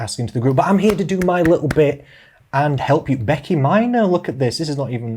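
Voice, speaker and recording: In a Yorkshire accent, the speaker talks at a very fast pace in a playful tone. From central England. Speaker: social media live presenter for a company group. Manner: chatty, playful.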